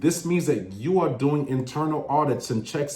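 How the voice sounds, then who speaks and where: Speaking at a moderate pace, a man's voice bounces with audible room echo. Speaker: government contracting educator, former contracting officer. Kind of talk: educational monologue.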